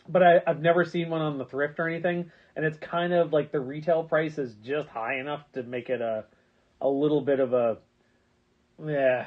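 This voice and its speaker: This man has an unremarkable speaking voice, fairly high in pitch, with fairly even intonation and a moderate pace. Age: 40s. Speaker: online video host, toy blaster hobbyist. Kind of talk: casual livestream chat.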